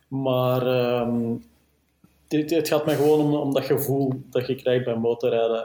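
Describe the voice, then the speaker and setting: A man speaks with a Flemish accent in a dark, mellow tone. His pace is fairly slow and his intonation fairly even. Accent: Flemish Dutch. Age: 30s. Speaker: motorcycle journalist. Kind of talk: casual interview.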